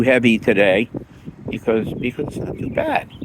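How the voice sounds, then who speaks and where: Amid noticeable background noise, a man talks at a moderate pace with a medium pitch. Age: 60s. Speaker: recovering alcoholic vlogger. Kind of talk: casual vlog monologue. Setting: outdoors in a park. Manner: halting, many fillers and repetitions.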